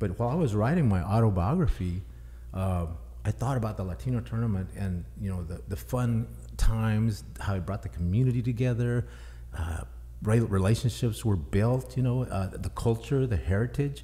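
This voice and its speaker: A man with an American accent speaks at a moderate pace in a fairly low, dark, mellow tone. His voice is somewhat breathy, with very wide pitch swings. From Texas. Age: 60s. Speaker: author. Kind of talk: podcast interview.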